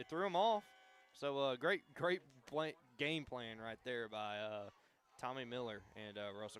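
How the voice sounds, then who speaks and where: This speaker has a Memphis accent, lively intonation and big swings in loudness. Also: man. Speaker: color commentator. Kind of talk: live sports commentary. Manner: casual, filler-heavy.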